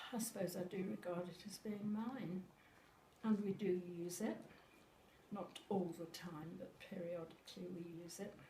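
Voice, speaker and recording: A woman talks at a fairly slow pace in a medium pitch with ordinary pitch variation. Noticeable background noise and audible room echo fill the recording. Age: 80s+. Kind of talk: casual chat. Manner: halting.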